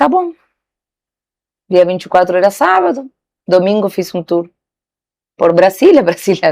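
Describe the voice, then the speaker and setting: Her voice sits at a medium pitch, with a dark, mellow tone and lively intonation at a moderate pace. The sound is dry and close, with no echo. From Argentina. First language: Spanish (speaking Portuguese). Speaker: saleswoman. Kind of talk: interview.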